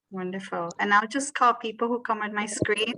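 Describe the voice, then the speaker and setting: A woman speaks with a bright, sharp tone. Her pitch is medium and her intonation fairly even. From Colombia. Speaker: education professor. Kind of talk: webinar hosting.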